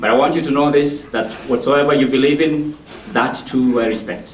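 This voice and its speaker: With an African accent, the speaker is heard amid audible room echo and noticeable background noise. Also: man. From Kenya. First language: not English. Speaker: motivational speaker. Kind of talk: public speech. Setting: library event with audience.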